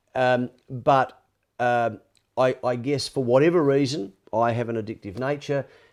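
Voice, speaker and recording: Quiet background behind a man with an Australian accent. He keeps a moderate pace. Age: 60s. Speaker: former sports reporter, addiction advocate. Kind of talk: podcast interview. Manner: halting.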